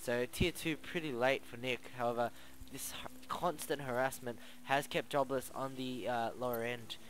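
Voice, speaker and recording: A man's mumbling with fairly even intonation. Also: medium pitch for a man, moderate pace. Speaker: game commentator. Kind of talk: live commentary.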